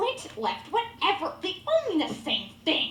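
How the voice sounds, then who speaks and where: Delivered at a fairly slow pace, this put-on character voice sits at an extremely high pitch and makes very wide pitch swings, with slight echo and clear background noise. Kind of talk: children's theater comic acting. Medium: stage play. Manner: bickering, literal.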